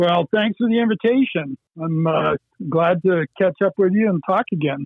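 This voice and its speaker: A man's high voice with an American accent, ordinary pitch variation and a moderate pace. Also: very even loudness. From Erie County, western New York / Great Lakes. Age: 60s. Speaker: fly fishing angler. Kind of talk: interview.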